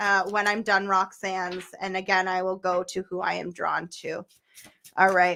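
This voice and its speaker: Loud and bright, with a sharp tone, a woman speaks at a moderate pace. The recording is very clean with a silent background. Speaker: tarot reader. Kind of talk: live stream tarot reading. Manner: animated.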